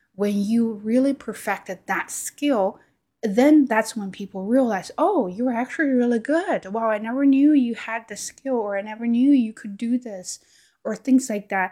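A woman with a dark, mellow tone and fairly high pitch speaks at a moderate pace with ordinary pitch variation and big swings in loudness, in a very clean recording with a silent background. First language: Chinese. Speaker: YouTuber and podcaster. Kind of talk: casual monologue to camera. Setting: home recording on camera. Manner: halting, with filler words and repetitions.

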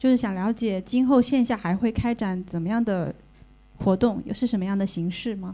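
Her voice sits at a medium pitch for a woman and carries a dark, mellow tone. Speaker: event organizer. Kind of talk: event emcee. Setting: stage with audience.

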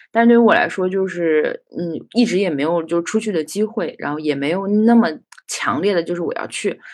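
A woman's unremarkable speaking voice at medium pitch and a moderate pace, with ordinary pitch variation. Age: 30s. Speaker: anthropology graduate student. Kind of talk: casual chat.

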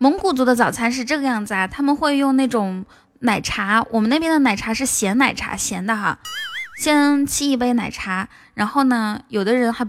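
Music plays in the background as a woman speaks. Her voice is high-pitched, with ordinary pitch variation and a moderate pace. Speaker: livestream host. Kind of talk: casual chat. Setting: livestream. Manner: animated.

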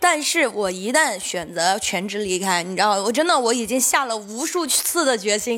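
Her pitch swings very widely as this woman talks at a moderate pace. Noticeable background noise runs throughout. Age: 30s. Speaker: stand-up comedian and comedy club owner. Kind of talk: casual chat.

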